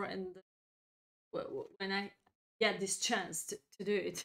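Speaking with a non-native accent, a woman has a bright, sharp tone. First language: not English. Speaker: chess grandmaster and streamer. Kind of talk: chess lesson livestream. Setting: live stream.

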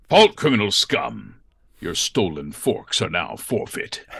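A man talks in a put-on character voice. His pace is fairly slow. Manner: authoritative, stern.

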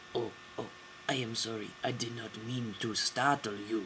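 Over clear background noise, a man does a cartoonish character voice with a French accent at a moderate pace. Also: medium pitch for a man. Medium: puppet.

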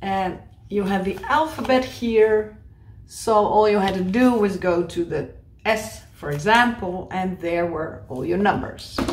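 Noticeable background noise is present. The delivery is fairly slow. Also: woman. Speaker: video host. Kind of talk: tutorial. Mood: playful, nostalgic. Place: home room.

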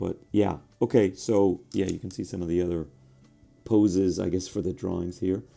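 Over music in the background, a man speaks in a very deep, low pitch. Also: moderate pace. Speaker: soda reviewer. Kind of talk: casual taste test review. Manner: hesitant, filler-heavy.

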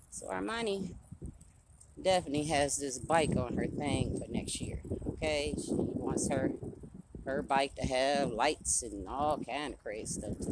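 Over loud background noise, a woman speaks at a fairly slow pace in a dry sound with no echo. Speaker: grandmother vlogger. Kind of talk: casual vlog chat. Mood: chatty, animated. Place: street. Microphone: phone near.

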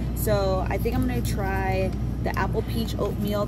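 A woman keeps a moderate pace as loud background noise plays behind her. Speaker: mother vlogger. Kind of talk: casual vlog chat. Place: shop. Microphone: phone near.

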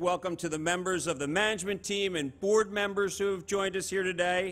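A man's voice carries a bright, sharp tone. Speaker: exchange host welcoming company. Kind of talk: ceremonial speech. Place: stage. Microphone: podium.

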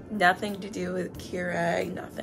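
Clear music plays in the background while the speaker talks at a moderate pace. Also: woman. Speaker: vlogger. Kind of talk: casual vlog chat. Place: kitchen. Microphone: phone near.

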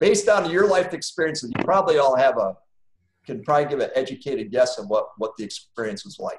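A man talks at a very fast pace with an American accent. His loudness swings widely, and there is audible room echo. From Wisconsin, US Midwest. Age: 50s. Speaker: business owner and guest speaker; guest. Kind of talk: personal testimony in online class. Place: home room. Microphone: video call.

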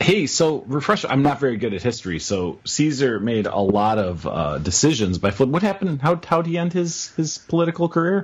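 This man's pitch sits fairly high and swings very widely, with a somewhat breathy sound. He talks at a fairly quick pace with hardly any pauses. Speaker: podcast co-host. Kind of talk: casual chat. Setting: live video stream.

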